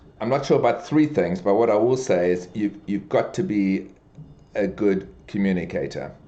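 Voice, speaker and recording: At a moderate pace, a man speaks in a dark, mellow tone with lively intonation. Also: fairly low pitch for a man. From South Africa (Durban). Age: 60s. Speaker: business executive. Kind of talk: podcast interview. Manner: halting, many fillers and repetitions.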